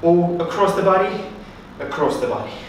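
Strong room echo and light background noise surround a man speaking at a high pitch and a moderate pace. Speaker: fitness instructor. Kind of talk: workout instruction. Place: empty room. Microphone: camera far.

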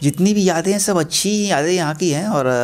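Faint music plays in the background as a man speaks with lively intonation. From Bhagalpur, Bihar; Bihar. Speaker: film director and screenwriter; interviewee. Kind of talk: interview. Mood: warm, nostalgic. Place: home room. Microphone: handheld.

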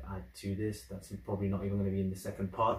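A man talks at a fairly quick pace in a somewhat breathy, fairly low voice, with audible room echo around him. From UK. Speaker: YouTube reactor. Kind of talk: video reaction commentary. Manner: casual, animated. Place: home room. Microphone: camera far.

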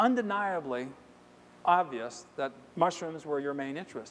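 A man speaks with a high pitch. Light background noise can be heard. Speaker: conference presenter. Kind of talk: lecture. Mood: enthusiastic, humorous. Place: hall.

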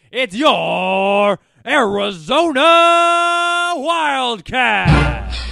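Over background music, a man talks at a very slow pace with an extremely high pitch and very wide pitch swings. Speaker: public address announcer. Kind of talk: sports arena public address announcement. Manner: hyped, energetic.

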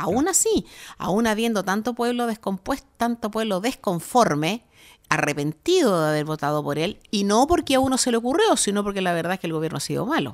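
Very wide pitch swings from a woman at medium pitch, fairly quick in pace, on a very clean recording with a silent background. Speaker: radio host. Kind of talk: casual chat. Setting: studio.

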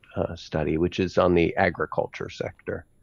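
Against a quiet background, a man with an American accent talks at a moderate pace, the sound dry with no echo. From United States. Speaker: space policy expert; remote speaker. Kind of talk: online conference talk. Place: home room. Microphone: headset.

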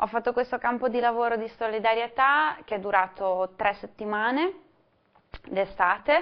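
A woman speaks at a moderate pace. Her voice is fairly high in pitch. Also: ordinary pitch variation. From Ferrara, northern Italy. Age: 20s. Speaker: volunteer. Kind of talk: testimony. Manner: halting.

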